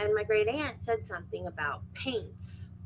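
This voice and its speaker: A woman speaks with an American accent and vocal fry. Her pitch is very deep and low, with very wide pitch swings. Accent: Florida accent, thicker when she wants. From Florida, US South. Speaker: true crime livestream host. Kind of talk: casual chat. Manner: rambling conversational.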